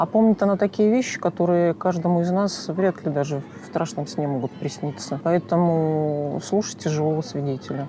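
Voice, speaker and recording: A woman with a fairly low pitch and ordinary pitch variation at a moderate pace, over noticeable background noise. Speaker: video blogger, interviewer. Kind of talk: casual talk to camera.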